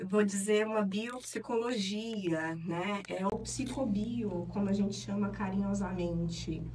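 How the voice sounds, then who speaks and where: A woman with a northeastern Brazilian accent speaks fairly slowly at a medium pitch with fairly even intonation, amid noticeable background noise and audible room echo. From Piauí, Northeast Brazil. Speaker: neuropsychologist and professor. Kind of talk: interview. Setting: studio.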